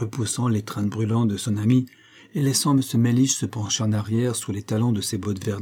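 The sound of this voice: An unforced reading voice carries this clip. Its intonation stays fairly even.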